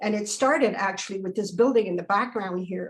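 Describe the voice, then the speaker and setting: A woman speaks in a somewhat breathy voice. Her pitch is medium. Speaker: photographer. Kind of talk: presentation over video call. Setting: video call. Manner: fast; halting.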